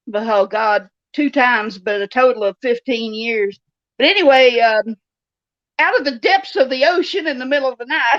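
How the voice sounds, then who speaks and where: A woman's high-pitched voice comes through dry and close, with no echo. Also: moderate pace. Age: 60s. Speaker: novelist. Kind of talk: interview.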